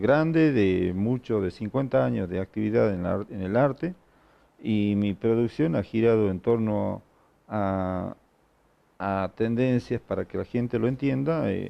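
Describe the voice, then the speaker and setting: A man speaks at a very slow pace with a fairly low pitch. His intonation is lively. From Argentina, Salta. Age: 60s. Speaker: painter and sculptor, retired art teacher. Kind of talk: interview.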